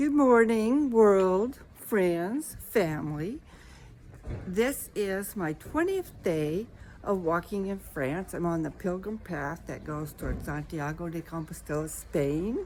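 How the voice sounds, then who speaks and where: A woman talks at a very slow pace. Her medium-pitched voice carries lively intonation. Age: 70s. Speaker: travel vlogger. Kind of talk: video diary to camera.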